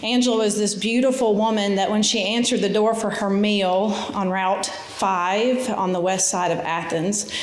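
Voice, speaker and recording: Audible room echo and noticeable background noise surround a woman who speaks at a fairly slow pace with fairly even intonation. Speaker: nonprofit foundation executive. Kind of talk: inspirational talk. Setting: stage with audience. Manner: casual, conversational.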